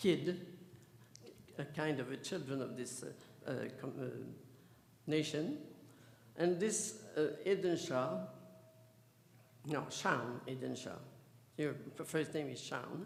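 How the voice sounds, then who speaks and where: A man with a French accent and a fairly high pitch talks at a very slow pace with long, frequent pauses and ordinary pitch variation, amid noticeable background noise and audible room echo. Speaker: theosophical society official introducing speaker. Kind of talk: event introduction speech. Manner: halting, hesitant.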